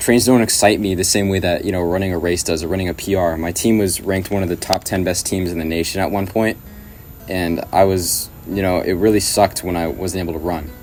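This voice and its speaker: A man with a very deep, low pitch and fairly even intonation, talking at a fairly quick pace over music in the background. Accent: American. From Southern California, Riverside. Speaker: YouTube channel creator. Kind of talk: personal video message. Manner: casual, with fillers.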